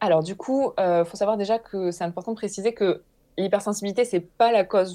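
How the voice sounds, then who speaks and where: A woman talks at a moderate pace in an unremarkable speaking voice of medium pitch. The background is quiet. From southern France, Hérault. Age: 30s. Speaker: naturopath. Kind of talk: interview testimony.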